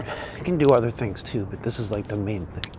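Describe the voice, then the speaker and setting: Quiet, fairly low male voice at a moderate pace, ordinary pitch variation, noticeable background noise. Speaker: copywriting teacher vlogger. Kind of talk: casual walking vlog monologue. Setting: outdoors, walking on street early morning. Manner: keeping voice down, quiet; halting, many fillers.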